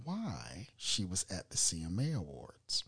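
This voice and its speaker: Against a quiet background, a man speaks with very wide swings in pitch. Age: 50s. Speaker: podcast host. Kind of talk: casual chat. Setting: studio. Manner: hesitant, filler-heavy.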